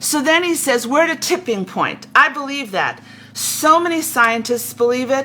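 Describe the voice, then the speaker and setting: A woman talks at a moderate pace in a high, raised, projected voice. Her tone is animated and her intonation lively, with noticeable background noise behind her. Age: 70s. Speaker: spiritual teacher. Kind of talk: spiritual talk. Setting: livestream on Facebook and YouTube. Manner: halting.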